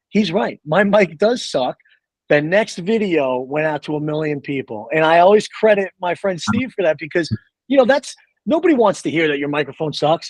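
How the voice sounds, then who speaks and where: Loud and fairly quick, a man speaks with a high pitch and lively intonation in a dry, close recording with no echo. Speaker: space content creator. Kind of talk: podcast interview. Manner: animated.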